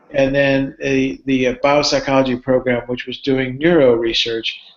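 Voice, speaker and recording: The man has a fairly high pitch and talks at a moderate pace. Noticeable background noise can be heard. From Cuba, moved to US at eight and a half. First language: Spanish. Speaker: neuropsychology professor. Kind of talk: live Q&A talk. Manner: halting, with frequent fillers and repeats.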